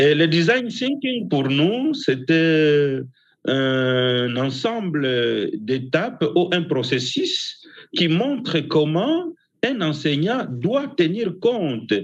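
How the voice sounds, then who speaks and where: Pitched fairly high, a man's voice swings very widely up and down. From DR Congo. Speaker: university professor. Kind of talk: symposium presentation. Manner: halting.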